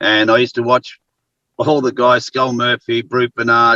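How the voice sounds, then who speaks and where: In an Australian accent, a man talks at a moderate pace with a medium pitch and a bright, sharp tone. The sound is dry and close, with no echo. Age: 60s. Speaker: actor and former wrestler, talk show co-host. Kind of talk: casual interview.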